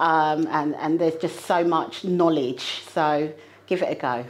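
Her pace fairly slow, a woman talks in an ordinary speaking voice with ordinary pitch variation. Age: 40s. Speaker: property investor and project manager. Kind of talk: interview. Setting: studio.

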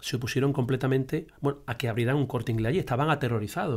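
A man at a medium pitch and a very fast pace, with ordinary pitch variation. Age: 50s. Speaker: teacher and local historian. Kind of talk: casual conversation.

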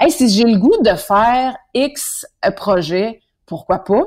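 This woman speaks with a Quebec accent. Her pace is very slow. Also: very clean recording, silent background. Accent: Québécois French. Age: 30s. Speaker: singer and TV host. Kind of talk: casual interview.

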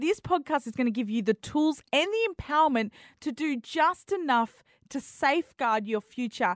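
A woman with an Australian accent speaks at a moderate pace with lively intonation. The sound is dry and close with no echo, on a very clean recording with a silent background. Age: 30s. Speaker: podcast host. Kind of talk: scripted intro; casual interview.

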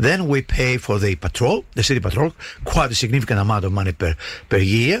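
Very fast and somewhat breathy, a man talks with lively intonation. The recording is very clean, with a silent background. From Greece. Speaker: city mayor. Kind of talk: radio interview. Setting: radio studio.

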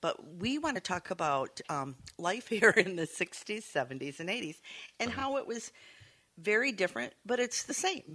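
With an American accent, a woman at medium pitch speaks at a moderate pace, her bright, sharp tone carrying vocal fry and very wide swings in pitch. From Saugatuck, Michigan. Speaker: bookshop owner, guest co-host. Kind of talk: casual chat.

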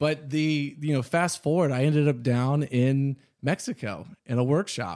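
A man with an American accent and a plain, everyday voice speaks at a fairly slow pace and fairly high pitch with ordinary pitch variation, in a very clean recording with a silent background. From Texas, Houston. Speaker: boot company founder. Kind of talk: interview. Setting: studio.

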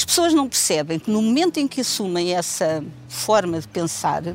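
Music plays behind a woman speaking at a moderate pace. Her pitch swings very widely. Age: 70s. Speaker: mature university student. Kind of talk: casual chat.

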